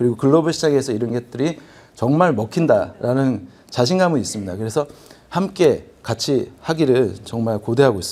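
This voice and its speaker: With a Gyeongsang accent, a man speaks at a medium pitch and a moderate pace. His dark, mellow tone carries lively intonation. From Busan, South Korea. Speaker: business executive, forum presenter. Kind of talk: conference presentation. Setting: convention hall with audience.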